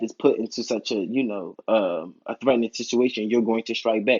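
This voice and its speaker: With an American accent, a man speaks at a medium pitch and fairly even intonation. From Philadelphia, US. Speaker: YouTube TV reviewer. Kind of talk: casual video review monologue. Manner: rambling with many fillers.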